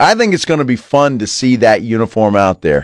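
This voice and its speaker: A man's ordinary speaking voice, medium in pitch, with lively intonation at a moderate pace over a quiet background. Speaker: radio sports talk host. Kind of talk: radio DJ patter, casual sports-talk banter with station ID plugs. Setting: studio. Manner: upbeat, chatty, easygoing.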